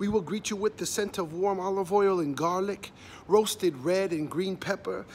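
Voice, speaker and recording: With light background noise around him, a man speaks in a high pitch. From US, Mexican border region. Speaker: poet. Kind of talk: spoken word poetry performance. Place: street. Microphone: phone near.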